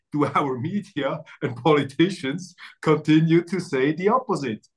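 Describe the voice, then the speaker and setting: A man's fairly high voice in a German accent. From Switzerland. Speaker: journalist and interview host. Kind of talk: interview. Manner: halting with fillers.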